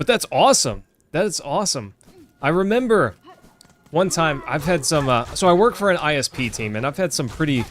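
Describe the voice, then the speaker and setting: Over music in the background, a man with a slight Texas accent talks at a fairly quick pace with lively intonation. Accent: slight Texas twang. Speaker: gaming streamer. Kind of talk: live gameplay commentary. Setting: home, wife in other room. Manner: casual, chatty.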